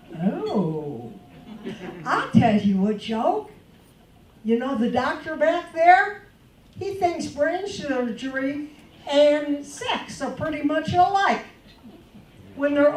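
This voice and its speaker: Very wide pitch swings from a high-pitched woman, a very slow pace, long and frequent pauses, and audible room echo. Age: 70s. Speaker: comedian. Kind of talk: stand-up. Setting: stage with audience.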